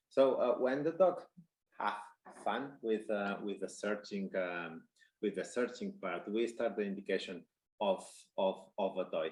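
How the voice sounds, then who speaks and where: Speaking in a Spanish accent, a man talks at a moderate pace. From Spain. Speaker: dog trainer. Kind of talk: webinar presentation. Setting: online conference. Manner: halting, many fillers.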